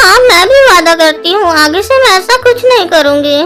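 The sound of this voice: A woman puts on a cartoonish character voice with an extremely high pitch and very even loudness. She speaks at a moderate pace over clear background noise.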